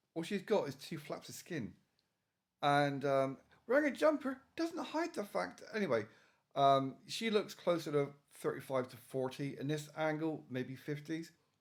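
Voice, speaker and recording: Speaking at a moderate pace, a man with an English accent uses a fairly high pitch and lively intonation. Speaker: YouTuber / video reviewer. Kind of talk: reaction commentary rant. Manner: halting.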